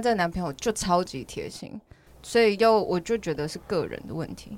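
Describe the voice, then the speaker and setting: A voice with vocal fry, talking at a fairly quick pace. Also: woman. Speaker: podcast host and language teacher. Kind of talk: casual chat interview. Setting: studio with headphones. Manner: laughs often.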